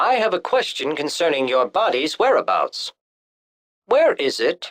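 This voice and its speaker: Moderately paced and fairly high-pitched, a put-on character voice. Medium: video game. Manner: stiff, formal, literal.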